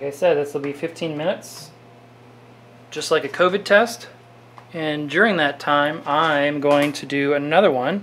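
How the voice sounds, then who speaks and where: A man with a fairly high pitch and ordinary pitch variation talks at a moderate pace with long, frequent pauses and big swings in loudness, over light background noise. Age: 40s. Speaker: orchid grower and video creator; video creator. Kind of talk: tutorial. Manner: halting. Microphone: phone near.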